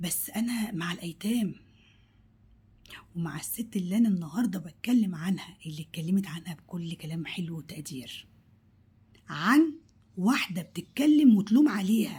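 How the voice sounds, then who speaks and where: The voice is dark and mellow, and somewhat breathy. Its loudness swings widely. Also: woman, medium pitch for a woman, fairly slow pace. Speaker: cooking vlogger. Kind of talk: vlog monologue. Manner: animated; halting.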